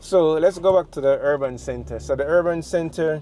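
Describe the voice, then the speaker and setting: Moderate pace and a dark, mellow tone from a man with a Jamaican accent, his intonation fairly even. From Jamaica, St. Thomas parish. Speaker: travel vlogger. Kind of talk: vlog narration. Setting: in a car. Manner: casual, with fillers.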